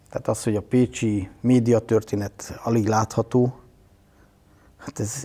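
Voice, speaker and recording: This man's voice has a dark, mellow tone, somewhat breathy, with fairly even intonation. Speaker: media artist and cultural professional. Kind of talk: interview.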